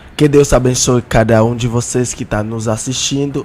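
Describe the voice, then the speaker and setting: At medium pitch and with fairly even intonation, a man speaks over noticeable background noise. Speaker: apostle, guest preacher. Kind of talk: religious podcast interview.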